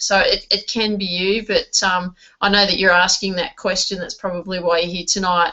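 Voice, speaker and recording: A woman with an Australian accent talks in a fairly even intonation. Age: 40s. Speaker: network marketing trainer. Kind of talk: online training webinar. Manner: hesitant, many fillers and repeats.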